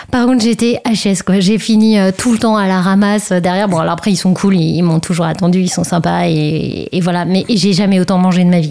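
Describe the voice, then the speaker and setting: A woman with an unremarkable speaking voice keeps a medium pitch, ordinary pitch variation, very even loudness and a moderate pace with hardly any pauses. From Brittany, France. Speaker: long-distance cyclist and new mother. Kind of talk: radio interview.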